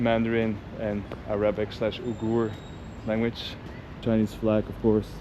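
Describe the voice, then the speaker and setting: With a Dutch accent, a man speaks at a fairly slow pace in a monotone, flat intonation and a medium pitch, over noticeable background noise. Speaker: travel vlogger. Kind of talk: travel vlog narration. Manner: casual.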